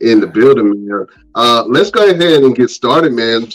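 Over music in the background, a man with a medium pitch speaks in an animated tone at a moderate pace. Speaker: podcast host. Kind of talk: casual chat. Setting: video call. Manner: hype, animated.

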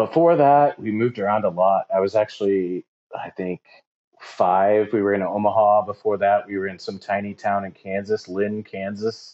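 A moderate pace and ordinary pitch variation, with an American accent. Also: man, fairly low pitch for a man. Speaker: DJ. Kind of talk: casual interview chat.

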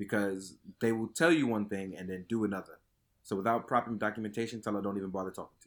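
A man with a New York accent and a fairly low pitch speaks very fast with fairly even intonation and big swings in loudness, on a very clean recording with a silent background. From Brooklyn, New York (Fort Greene). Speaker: product photographer. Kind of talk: casual chat.

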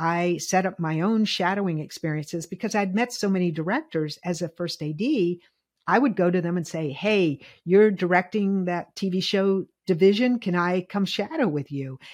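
Her voice is an ordinary speaking voice, a woman's at medium pitch with ordinary pitch variation. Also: moderate pace. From US South, Lynchburg, Virginia. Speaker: film director. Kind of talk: interview.

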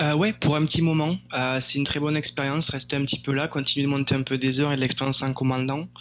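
Hardly pausing, a man speaks at a very fast pace and fairly high pitch in a monotone, flat delivery with very even loudness, over noticeable background noise. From France. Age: 20s. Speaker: airline pilot. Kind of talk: interview. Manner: halting.

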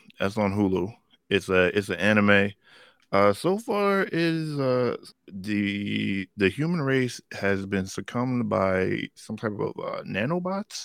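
A man speaks in a playful tone at a very slow pace. The recording is very clean, with a silent background. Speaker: comic book fan podcast co-host. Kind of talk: casual banter about comics and movies. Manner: joking, playful.

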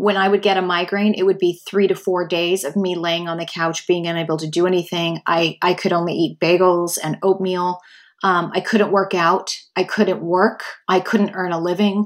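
On a very clean recording with a silent background, a woman of medium pitch speaks at a moderate pace. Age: 50s. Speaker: podcast host. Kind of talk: solo monologue. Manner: animated.

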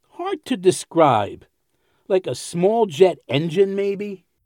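A man's put-on character voice, high-pitched with big pitch swings, slow pace and a slightly mellow tone.

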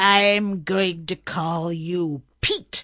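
A woman's put-on character voice, medium in pitch, with fairly even intonation. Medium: read story.

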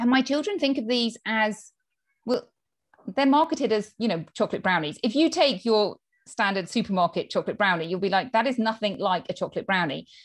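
This woman has a British accent and a fairly high pitch. She talks at a fairly quick pace with lively intonation. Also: quiet background. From United Kingdom. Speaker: pediatrician and health coach. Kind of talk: interview.

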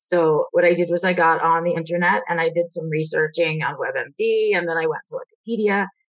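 A woman with an unremarkable speaking voice and a fairly low pitch talks at a fairly quick pace with hardly any pauses and ordinary pitch variation. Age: 30s. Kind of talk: interview.

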